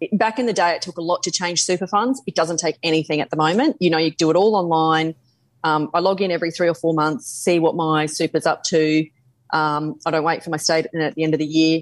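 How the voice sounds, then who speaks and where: With an Australian accent, the speaker goes at a fairly quick pace with ordinary pitch variation. The recording is very clean and silent in the background, with a dry, close sound and no echo. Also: woman, fairly low pitch for a woman. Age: 40s. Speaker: finance adviser. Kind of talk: interview.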